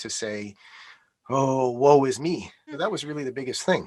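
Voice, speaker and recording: A man with a Canadian accent, medium in pitch, in an unremarkable speaking voice with fairly even intonation. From Canada, Montreal (Quebec). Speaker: interview guest. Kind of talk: interview conversation.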